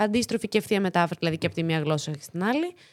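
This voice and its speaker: The speaker is a woman. Her pitch is fairly low. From Greece, Thessaloniki. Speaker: actress and latin dancer. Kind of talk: casual interview chat.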